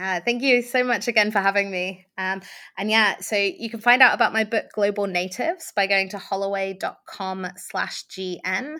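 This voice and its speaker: In a British accent, a woman speaks at a moderate pace with a bright, sharp tone in a very clean recording with a silent background. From UK, Iranian family. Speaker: author and remote work advocate. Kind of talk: interview. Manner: hesitant fillers, frequent ums.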